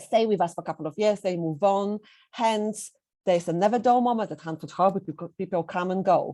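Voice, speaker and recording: A woman with a Polish accent speaks at a medium pitch in a dark, mellow tone, with ordinary pitch variation, in a very clean recording against a silent background. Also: fairly quick pace. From Poland. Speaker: head teacher. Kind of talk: presentation. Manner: hesitant, with fillers.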